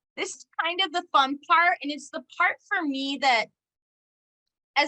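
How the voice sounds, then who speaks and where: A woman projects a raised voice with a bright, sharp tone, speaking at a fairly slow pace. Her pitch varies in an ordinary way, and the sound is dry and close with no echo. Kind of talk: presentation to parent support group.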